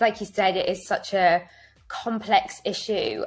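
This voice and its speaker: Heard on a very clean recording against a silent background, a woman talks with a northern English accent. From northern England. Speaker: fashion rental app co-founder. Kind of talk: podcast interview. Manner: hesitant, many fillers.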